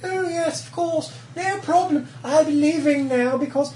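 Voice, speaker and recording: A put-on character voice with a high pitch speaks at a fairly slow pace over clear background noise. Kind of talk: haughty, mocking. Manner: snooty, turned-up nose.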